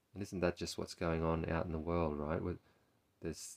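Very deep, low pitch from a man with an Australian accent and monotone, flat intonation. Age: 40s. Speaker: therapist and podcast host. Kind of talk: reflective solo talk. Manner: halting, with repetitions.

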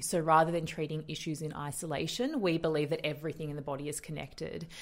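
Fairly even intonation in an Australian accent. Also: woman. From Australia, western suburbs of Melbourne. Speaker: naturopath and nutritionist. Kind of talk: interview conversation.

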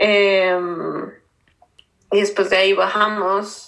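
In a Bogotá accent, a woman speaks at medium pitch and a very slow pace with monotone, flat intonation. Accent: Bogotá Colombian Spanish. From Colombia, Bogotá. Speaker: graphic designer. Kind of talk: interview. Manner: halting.

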